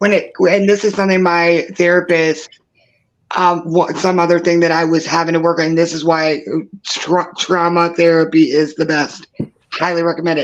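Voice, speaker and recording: A woman at a fairly low pitch keeps a moderate pace with monotone, flat intonation. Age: 40s. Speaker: true crime livestream host. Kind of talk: casual chat. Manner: halting.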